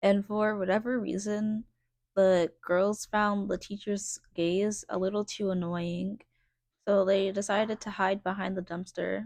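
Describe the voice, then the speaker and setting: Quiet and medium-pitched, a woman speaks at a fairly slow pace with monotone, flat intonation. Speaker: vlogger. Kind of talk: personal storytelling vlog. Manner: quiet, reserved.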